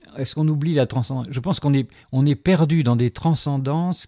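Dark and mellow in tone, the voice sounds dry and close, without any echo. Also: man. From Algeria, then France. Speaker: sculptor, former philosophy teacher. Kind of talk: interview. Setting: his gallery-workshop.

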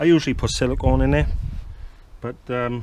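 The pace is fairly quick and the intonation fairly even. The tone is slightly mellow. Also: man, medium pitch for a man.

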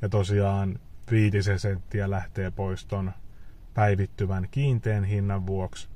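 Dry with no echo, this recording carries a man's dark, mellow tone. He is somewhat breathy and speaks very slowly. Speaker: EV owner vlogger. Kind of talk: casual vlog chat. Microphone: phone near.

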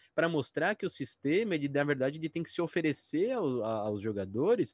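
Over a quiet background, a man's fairly high pitch swings very widely in a dry sound with no echo. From Brazil. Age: 30s. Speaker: tabletop RPG author; guest. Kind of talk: interview. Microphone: video call.

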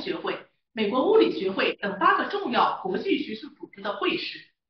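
The voice keeps a moderate pace, with audible room echo. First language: Mandarin. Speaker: interview host. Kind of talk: scripted narration and interview. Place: studio.

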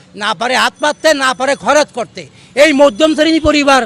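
An animated, extremely high-pitched man's voice, dry and close with no echo, over noticeable background noise. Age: 70s. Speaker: freedom fighter veteran and rickshaw puller. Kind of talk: street interview complaint.

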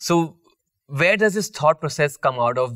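Against a quiet background, a man speaks with a bright, sharp tone. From Delhi, India. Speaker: chef and show host; show host. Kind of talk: interview.

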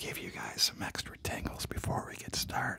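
A man is whispering at a fairly slow pace. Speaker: ASMR creator. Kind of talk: soft-spoken ASMR chat. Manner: soft-spoken, intimate, close to mics. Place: home room. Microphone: studio mic.

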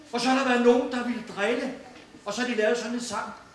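Light background noise and audible room echo surround a man talking in a monotone, flat intonation at an extremely high pitch. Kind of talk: address to an audience. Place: hall. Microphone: camera far.

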